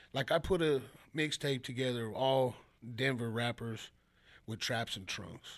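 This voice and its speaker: A man with an American accent talks at a fairly slow pace, leaving long, frequent pauses. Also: medium pitch for a man, ordinary pitch variation, very clean recording, silent background. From Chicago, US Midwest. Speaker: rapper. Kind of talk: casual interview chat. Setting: studio.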